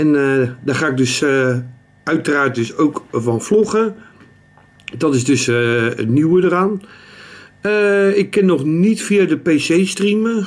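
Speaking very slowly in a Rotterdam accent, a man uses lively intonation and takes long, frequent pauses. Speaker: streamer, vlogger. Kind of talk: casual talk to camera. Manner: hesitant, many fillers. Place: home room. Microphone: phone near.

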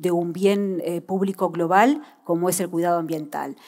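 Against a quiet background, a woman speaks at a medium pitch and a fairly slow pace. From Uruguay. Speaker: government policymaker; panelist. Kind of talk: panel discussion. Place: stage. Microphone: headset.

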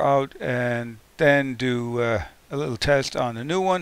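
A man's voice with fairly even intonation, the sound dry with no echo. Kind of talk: tutorial. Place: workshop.

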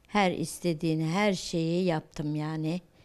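At a very slow pace, a woman speaks with a fairly low pitch, a dark, mellow tone and fairly even intonation. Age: 50s. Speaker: news interviewee. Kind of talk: news interview. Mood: sad, worried, pleading. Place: home room. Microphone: handheld.

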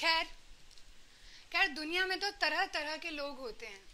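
A woman projects her raised voice at a high pitch with a bright, sharp tone and lively intonation. She speaks fairly slowly over light background noise. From Varanasi, India. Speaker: poet. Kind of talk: spoken word poetry performance. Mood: earnest, reflective social critique. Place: stage. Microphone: handheld.

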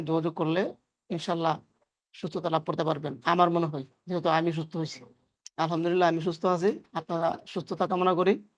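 In a monotone with flat intonation, a man speaks at a high pitch. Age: young. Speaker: patient. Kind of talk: testimony.

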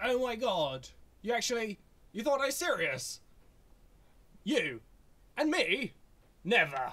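A cartoonish character voice, fairly high in pitch, moves at a fairly slow pace with long, frequent pauses. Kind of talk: comic overacting. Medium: puppet show. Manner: sardonic, doom-mongering, melodramatic.

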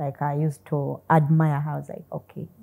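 A woman's somewhat breathy voice, dark and mellow in tone, with fairly even intonation at a moderate pace. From Uganda. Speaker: mathematician. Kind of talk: interview. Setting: studio. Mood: warm, grateful, smiling. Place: studio. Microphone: lapel.

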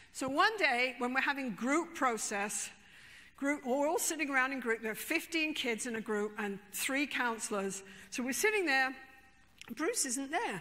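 In a raised, projected voice, a woman with a high pitch speaks at a moderate pace, her tone bright, sharp and animated with lively intonation. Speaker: therapist. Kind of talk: storytelling. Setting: stage with audience. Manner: humorous, conversational. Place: stage. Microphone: lapel.

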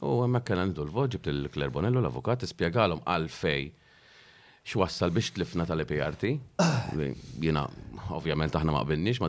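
A man with a very deep, low voice and vocal fry speaks with lively intonation. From Malta. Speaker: local mayor. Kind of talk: interview. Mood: calm, slightly aggrieved. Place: studio. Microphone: studio mic.

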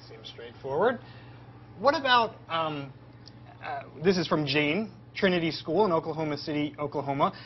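This man speaks at a moderate pace with long, frequent pauses. His loudness swings widely, and there is light background noise. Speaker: educational livestream host. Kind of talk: live educational Q&A. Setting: on location at a farm. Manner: animated. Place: farm machine.

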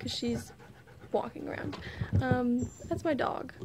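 The background carries noticeable noise. A woman speaks at a fairly slow pace. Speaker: knitting podcaster. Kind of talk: casual vlog chat. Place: street. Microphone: phone near.

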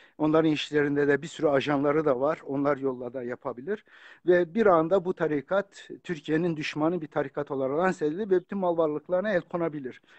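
A man with an ordinary speaking voice, fairly high in pitch, at a fairly quick pace with hardly any pauses, ordinary pitch variation, and a dry, close sound with no echo. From Turkey, Kurdish family from Bitlis. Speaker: author and religious scholar. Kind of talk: casual chat. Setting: video call. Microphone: phone.

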